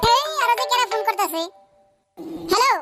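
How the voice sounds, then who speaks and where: This squeaky, cartoonish character voice moves at a fairly quick pace while faint music plays in the background. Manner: rude, short-tempered.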